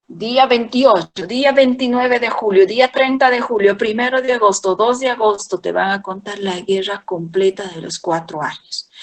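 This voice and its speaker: A woman's ordinary speaking voice at a fairly high pitch, fairly slow in pace with hardly any pauses and ordinary pitch variation. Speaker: history teacher. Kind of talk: lecture.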